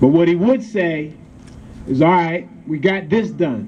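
The voice moves at a fairly slow pace with very wide pitch swings over light background noise. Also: man. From Pennsylvania, USA. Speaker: state senator. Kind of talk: ceremony speech. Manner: rousing, emphatic. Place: street. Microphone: camera far.

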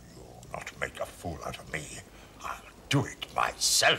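A raspy, put-on character voice speaks at a fairly slow pace over light background noise. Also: man. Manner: gruff, short-tempered.

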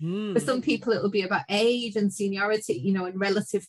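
Somewhat breathy, a woman speaks with ordinary pitch variation. The background is quiet. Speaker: educational publisher; webinar presenter, language teacher trainer. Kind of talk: webinar conversation. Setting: video call. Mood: reflective, friendly. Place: home room. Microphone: webcam.

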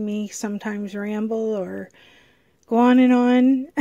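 Against a quiet background, a woman talks in a monotone, flat intonation with a dark, mellow tone and a dry sound with no echo. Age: 50s. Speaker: YouTube vlogger; small channel vlogger. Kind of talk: casual vlog talk to camera; casual vlog chat. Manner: hesitant, many fillers. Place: home room. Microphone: phone near.

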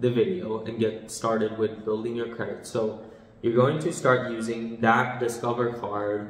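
The room echo is audible as a man talks. His pace is fairly slow and his intonation fairly even. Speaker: finance vlogger. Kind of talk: tutorial. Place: home room.

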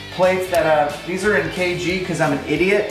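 Clear music plays in the background and the room echo is audible. Over it, a man speaks at a moderate pace with fairly even intonation. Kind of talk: casual equipment walkthrough. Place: garage.

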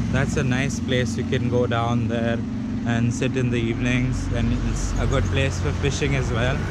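A fairly slow pace in a dry sound with no echo, with loud background noise behind it. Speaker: travel vlogger. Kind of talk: casual vlog chat. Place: street. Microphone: phone near.

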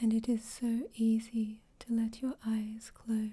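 Soft-spoken and somewhat breathy, a woman speaks at a very slow pace in a fairly high voice with a dark, mellow tone. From Australia. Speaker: hypnosis ASMR performer. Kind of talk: hypnosis session.

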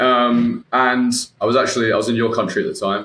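A man with a British accent at a fairly quick pace, with audible room echo. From UK. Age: 20s. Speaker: IBD patient and former coaching client. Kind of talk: casual interview chat. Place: home room.

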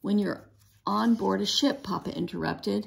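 The delivery is an unforced reading voice.

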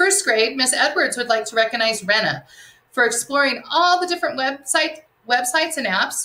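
A woman's raised, projected voice, bright and sharp in tone, with lively intonation. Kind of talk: announcements to students. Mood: warm, encouraging. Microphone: webcam.

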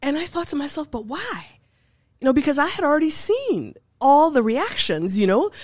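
A woman with a high voice speaks at a moderate pace, her pitch swinging very widely, with long, frequent pauses against a quiet background. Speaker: professor of applied linguistics. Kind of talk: interview. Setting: studio. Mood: reflective, calm storytelling. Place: studio. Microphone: studio mic.

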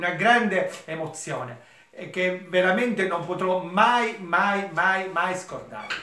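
The voice is raised and projected, with ordinary pitch variation and audible room echo. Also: man. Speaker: theatre company member. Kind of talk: recorded video greeting. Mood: moved, grateful. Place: home room. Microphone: phone near.

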